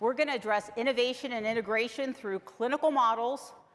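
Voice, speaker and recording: A woman with a normal speaking voice and a fairly high pitch talks at a fairly quick pace with lively intonation. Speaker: health plan executive. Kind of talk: conference presentation. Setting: conference room with live audience.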